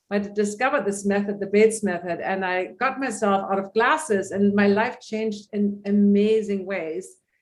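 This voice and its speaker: In a plain, everyday voice, a woman talks at a moderate pace and medium pitch, her intonation fairly even and hardly any pauses. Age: 60s. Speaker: holistic vision coach. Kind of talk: interview.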